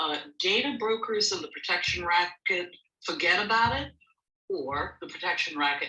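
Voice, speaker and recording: This is a woman speaking. She talks with an American accent. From New Jersey. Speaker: panelist, college faculty director. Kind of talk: panel discussion. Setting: audio chat room.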